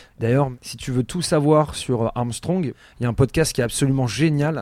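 Medium-pitched and showing ordinary pitch variation, a man's voice comes through. He speaks at a fairly slow pace. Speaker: music podcast host. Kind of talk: casual chat. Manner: animated.

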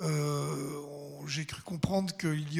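A fairly high-pitched man speaks with ordinary pitch variation. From Swiss Jura. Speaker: literary club president. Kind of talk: welcome speech.

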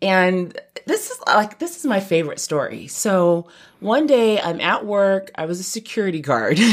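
In a slight New York accent, the speaker has an animated tone and lively intonation at a moderate pace. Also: woman, medium pitch for a woman. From California. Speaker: former choir singer. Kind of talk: interview. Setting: studio.

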